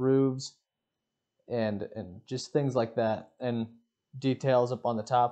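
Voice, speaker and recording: Against a quiet background, a man talks at a fairly slow pace in a relaxed tone that is dark and mellow. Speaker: Minecraft gameplay creator. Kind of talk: casual gameplay commentary. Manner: slow, relaxed.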